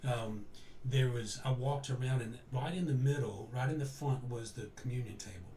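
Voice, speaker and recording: Background noise is noticeable, and room echo is audible. A man talks at a fairly quick pace and medium pitch, with fairly even intonation. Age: 60s. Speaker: interview guest. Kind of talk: personal storytelling in an interview. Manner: halting, with frequent self-corrections.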